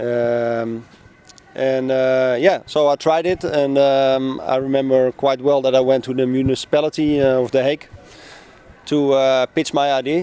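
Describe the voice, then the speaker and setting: With a Dutch accent, a man talks at a moderate pace and a medium pitch in a monotone, flat intonation over noticeable background noise. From Netherlands, Amsterdam. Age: 40s. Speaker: newspaper publisher. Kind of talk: casual interview. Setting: outdoors on a public bench. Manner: hesitant, many fillers.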